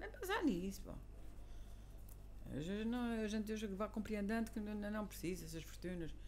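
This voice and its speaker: A woman talks at a moderate pace. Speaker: teacher. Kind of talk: casual conversation.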